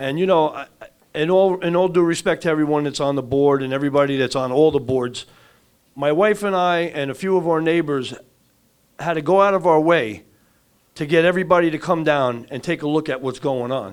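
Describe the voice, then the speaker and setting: A fairly quick pace with an American accent and ordinary pitch variation. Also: man, fairly high pitch for a man. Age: 60s. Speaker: resident speaking at public forum. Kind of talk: public comment at community meeting. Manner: animated, frustrated.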